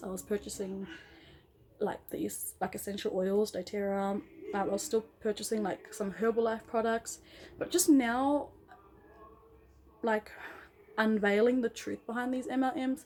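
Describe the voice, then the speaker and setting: A woman with an Australian accent speaks at a fairly high pitch in a dark, mellow tone, with ordinary pitch variation. Her pace is moderate, broken by long, frequent pauses. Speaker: vlogger, former MLM member. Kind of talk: casual vlog monologue. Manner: animated.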